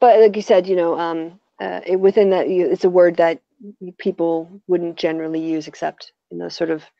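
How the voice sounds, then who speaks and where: This is a plain, everyday voice with an American accent. The pace is moderate. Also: woman, fairly low pitch for a woman. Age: 40s. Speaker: YouTuber. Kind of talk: casual chat.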